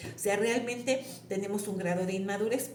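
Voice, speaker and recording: At a moderate pace and medium pitch, a woman speaks with audible room echo and noticeable background noise. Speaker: tarot reader. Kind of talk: tarot reading monologue.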